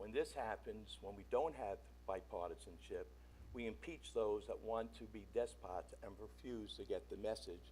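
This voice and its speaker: A man speaks at a moderate pace, and audible room echo follows his words. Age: 70s. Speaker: resident speaking at public comment. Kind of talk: prepared public comment statement. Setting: town council meeting.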